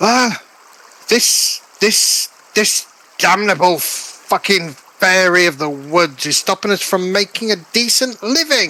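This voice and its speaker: Gruff and fairly slow, a man puts on a high-pitched character voice. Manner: angry, complaining.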